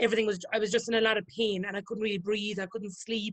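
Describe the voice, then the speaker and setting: Speaking with a strong Irish accent, a woman keeps a medium pitch. Her intonation is monotone and flat. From Ireland, County Limerick. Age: 30s. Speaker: chef and weight-loss author. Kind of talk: casual interview chat.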